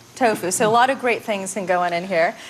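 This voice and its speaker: With a New Jersey accent, a woman speaks in an animated tone at a very fast pace over noticeable background noise. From New Jersey, US. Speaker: chef. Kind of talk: cooking demonstration.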